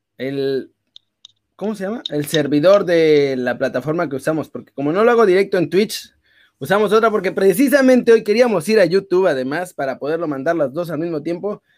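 A man talks at a fairly quick pace with a high pitch and lively intonation. The recording is very clean, with a silent background. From northern Mexico, Saltillo roots. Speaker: sports streamer. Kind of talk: casual chat. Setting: live stream.

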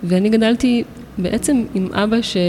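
A woman speaks with ordinary pitch variation. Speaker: photographer and artist. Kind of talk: interview. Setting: art gallery.

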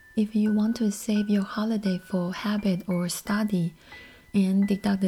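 Music plays behind a woman speaking at a moderate pace. Her medium-pitched voice keeps a fairly even intonation. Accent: Chinese. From Taiwan. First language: Mandarin. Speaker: podcast host. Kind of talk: solo podcast talk.

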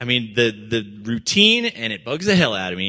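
Loud and at a fairly slow pace, a man with a medium pitch speaks in a bright, sharp tone with lively intonation. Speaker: minister. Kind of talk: sermon. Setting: church. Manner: animated.

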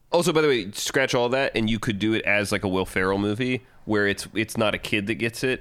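The speech, with an American accent, moves at a very fast pace with ordinary pitch variation. The recording is very clean, with a silent background. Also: man. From US South, Georgia. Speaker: screenwriter, podcast co-host. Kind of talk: casual chat.

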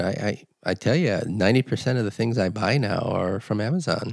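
With a General American accent and an ordinary speaking voice, a man speaks fairly quickly at a medium pitch with ordinary pitch variation, on a very clean recording with a silent background. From Los Angeles. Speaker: podcast host. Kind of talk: casual chat.

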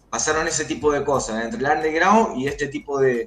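A man is speaking. There is audible room echo. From Argentina, Santa Fe. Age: 30s. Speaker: rapper and social psychologist. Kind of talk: interview.

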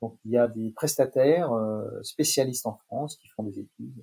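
Dark and mellow in tone, the somewhat breathy voice moves at a moderate pace with ordinary pitch variation. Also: man. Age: 60s. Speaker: marketing expert. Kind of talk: interview. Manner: hesitant, many fillers.

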